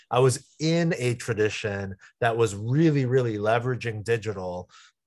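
This man has an unremarkable speaking voice with an American accent, medium pitch and ordinary pitch variation. He keeps a moderate pace against a quiet background. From US West Coast, San Jose. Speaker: pastor. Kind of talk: interview.

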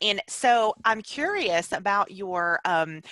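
The woman's tone is bright and sharp. Her voice sounds dry and close, with no echo at all. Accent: Southern US. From Alabama. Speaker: podcast host. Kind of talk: interview. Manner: animated.

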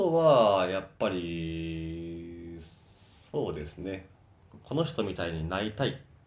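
Very deep, low male speech, very slow in pace, with ordinary pitch variation. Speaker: fitness instructor. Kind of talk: interview. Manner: halting.

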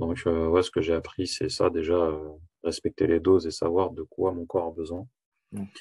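Somewhat breathy, a man talks with a very deep, low pitch and fairly even intonation. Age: 20s. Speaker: coaching client giving a testimonial. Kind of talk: testimony. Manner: halting.

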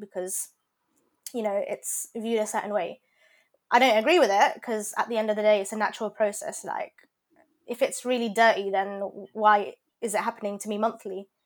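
A woman with a London accent speaks at a fairly high pitch with fairly even intonation on a very clean recording with a silent background. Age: 20s. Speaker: pharmacy graduate and cake business owner. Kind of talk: casual chat.

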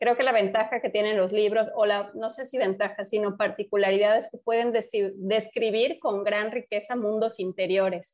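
A woman with a fairly high pitch talks in a normal speaking voice at a moderate pace, with fairly even intonation and hardly any pauses. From Mexico, Yucatán (Mérida). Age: 30s. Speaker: podcast co-host. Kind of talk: casual chat.

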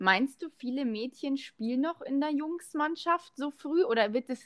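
At a fairly slow pace, a woman with a high pitch and lively intonation is heard in a dry, close sound with no echo. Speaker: podcast host, former footballer. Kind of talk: casual chat. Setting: remote call.

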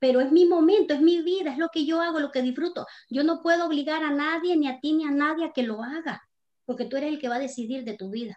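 Against a quiet background, a woman talks at a very fast pace. Her pitch is high. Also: ordinary pitch variation. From Nicaragua. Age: 50s. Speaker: author and cosmetics entrepreneur. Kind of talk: casual interview.

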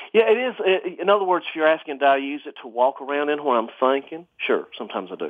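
Speaking very fast with hardly any pauses, a man with a fairly high pitch and an Alabama accent swings his pitch very widely. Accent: Southern US (Alabama). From US South, rural Alabama. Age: 40s. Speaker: antique clock restorer. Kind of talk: casual chat.

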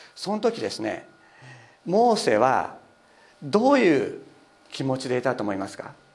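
A man speaks at a moderate pace with long, frequent pauses, and the room echo is audible. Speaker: pastor. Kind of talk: sermon.

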